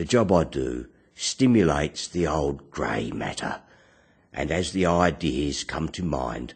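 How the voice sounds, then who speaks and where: Speaking at a fairly slow pace, a man with a very deep, low pitch uses lively intonation and vocal fry. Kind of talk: spoken word poetry / philosophical monologue.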